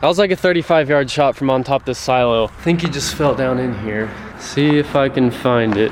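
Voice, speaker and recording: Someone speaks at a fairly quick pace with ordinary pitch variation against noticeable background noise. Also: man, medium pitch for a man. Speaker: outdoor hunting video creator. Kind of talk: casual vlog narration. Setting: outdoors on a farm.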